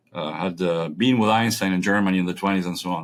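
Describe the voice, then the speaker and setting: Very fast and with ordinary pitch variation, a man speaks in a Spanish accent on a very clean recording with a silent background. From Argentina. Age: 60s. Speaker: physicist. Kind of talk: interview.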